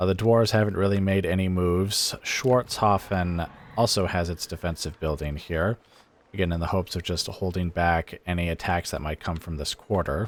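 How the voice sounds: A man speaks at a low pitch with a nasal sound and fairly even intonation. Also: moderate pace.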